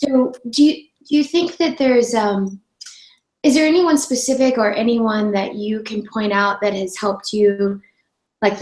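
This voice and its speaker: A woman speaks at a moderate pace with a fairly high pitch. Her voice is somewhat breathy. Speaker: online radio host. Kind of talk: interview. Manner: gentle.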